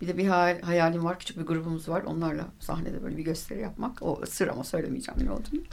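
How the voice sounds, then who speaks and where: A woman talks very fast with lively intonation. Her pitch is fairly low. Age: 50s. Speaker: recreational cyclist. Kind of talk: radio interview. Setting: radio studio. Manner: halting, many fillers.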